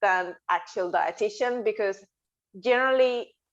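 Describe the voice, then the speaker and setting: Over a quiet background, a woman speaks with a Spanish accent and fairly even intonation. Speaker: dietitian. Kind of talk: podcast interview.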